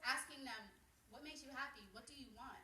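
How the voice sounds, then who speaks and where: Projecting a raised voice at a very fast pace, a woman with an American accent speaks in a high pitch with ordinary pitch variation, and audible room echo. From Pottstown, Pennsylvania. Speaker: community member. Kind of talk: public meeting speech.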